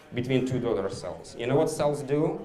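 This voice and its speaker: With a non-native accent, a man speaks in a fairly high pitch and an animated tone. Audible room echo and noticeable background noise fill the recording. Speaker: biology professor. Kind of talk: public science talk. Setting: bar with live audience. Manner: animated, interactive.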